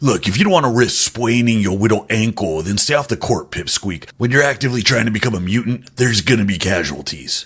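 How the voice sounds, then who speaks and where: In a cartoonish character voice, a man talks at a fairly quick pace with lively intonation, a medium pitch and hardly any pauses. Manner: brash, crude, teasing.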